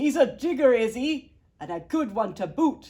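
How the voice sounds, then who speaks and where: A woman shouts and bellows in a put-on character voice, pitched high. She keeps a moderate pace. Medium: read story. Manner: bellowing, shouting.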